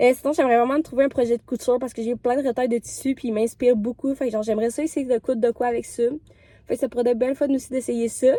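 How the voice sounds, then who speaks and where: A woman's high, dark, mellow voice, monotone and flat, at a very fast pace. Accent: Quebec. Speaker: vlogger. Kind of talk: casual vlog talk to camera. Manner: chatty, many filler hesitations.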